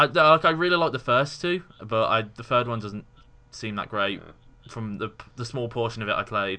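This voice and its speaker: In an English accent, a man with a medium-pitched voice speaks at a moderate pace with lively intonation and big swings in loudness. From England. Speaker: university student, podcast co-host. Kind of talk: casual chat.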